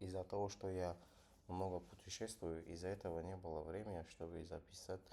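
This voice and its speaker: Over noticeable background noise, a man with a non-native accent talks at a moderate pace in a very deep, low voice. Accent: non-native Russian. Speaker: trader. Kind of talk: live trading tutorial. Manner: halting.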